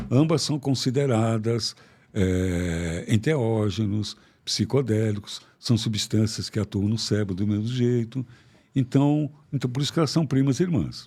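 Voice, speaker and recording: A man with a medium pitch speaks at a fairly slow pace in a dark, mellow tone. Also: ordinary pitch variation, very clean recording, silent background. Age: 70s. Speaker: psychiatrist. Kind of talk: interview conversation. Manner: animated.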